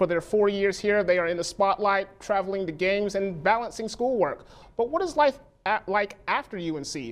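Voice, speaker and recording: A woman's ordinary speaking voice at a medium pitch, with lively intonation. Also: moderate pace. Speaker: TV news reporter and anchor. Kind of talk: TV news reporting; broadcast news anchor/reporter reel.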